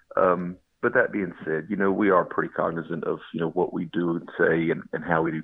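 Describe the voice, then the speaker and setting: Hardly pausing at all, a man speaks at a fairly quick pace. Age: 30s. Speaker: bourbon podcast host. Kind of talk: interview.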